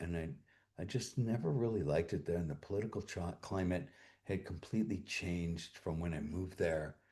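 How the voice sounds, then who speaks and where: Dark, mellow male speech, somewhat breathy. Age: 60s. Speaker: streamer. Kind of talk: casual chat. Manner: halting.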